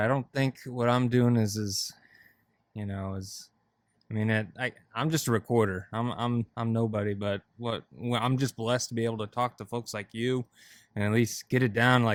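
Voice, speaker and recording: A man with a plain, everyday voice, medium pitch, fairly even intonation and moderate pace, in a very clean recording with a silent background. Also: dry, close sound with no echo. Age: young. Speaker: podcast host. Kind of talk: casual chat.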